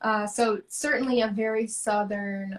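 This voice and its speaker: A woman speaks with an American accent. Her fairly high voice is somewhat breathy. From US South, rural. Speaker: artist. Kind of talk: interview.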